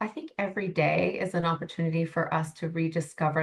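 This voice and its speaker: A woman with a very deep, low pitch and a somewhat breathy voice speaks at a fairly quick pace. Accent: Canadian. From Canada. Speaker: life coach. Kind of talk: podcast interview.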